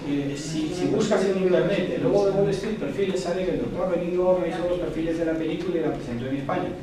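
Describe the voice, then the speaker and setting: Talking at a very fast pace, a man with a high voice comes through over noticeable background noise and audible room echo. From Panama. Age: 60s. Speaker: anthropologist and lecturer. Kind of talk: casual chat.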